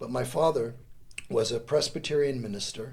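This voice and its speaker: Somewhat breathy, a man's voice sits at a medium pitch with ordinary pitch variation. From US Northeast, New York State and Connecticut. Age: 60s. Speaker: volunteer and lawyer, democracy course teacher. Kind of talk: casual interview chat.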